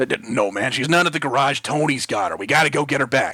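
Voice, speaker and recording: A man puts on a character voice that is raspy and fairly high in pitch. He talks at a very fast pace. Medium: read story. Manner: gruff, laconic, says man a lot.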